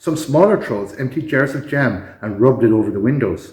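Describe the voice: The plain reading aloud carries lively intonation.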